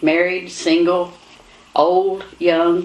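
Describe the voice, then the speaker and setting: A woman speaks with a Kentucky accent. Background noise is noticeable. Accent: Kentucky Southern US. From Kentucky, Owen County. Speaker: talk show host. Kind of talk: casual talk show chat.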